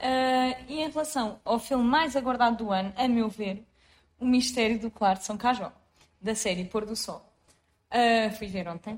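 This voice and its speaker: A woman talks fairly slowly, her fairly high voice showing ordinary pitch variation. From Portugal, Lisbon south bank (Seixal area). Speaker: podcast co-host. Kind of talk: casual chat.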